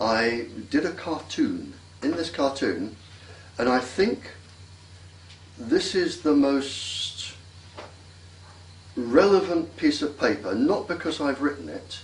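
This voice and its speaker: A man speaks at a very slow pace with long, frequent pauses and very wide pitch swings, and audible room echo is present. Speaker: radiation scientist. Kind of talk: interview.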